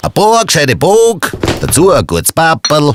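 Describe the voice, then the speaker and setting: In a Viennese accent, a man speaks at a fairly slow pace, the sound dry and close with no echo. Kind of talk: rhyming dialect verses in explainer video.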